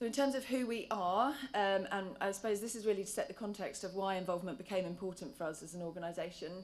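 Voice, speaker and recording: Very fast delivery with hardly any pauses and ordinary pitch variation, plus audible room echo. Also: woman, medium pitch for a woman. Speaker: charity patient involvement lead. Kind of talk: conference talk. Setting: conference stage with audience. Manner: hesitant, many fillers.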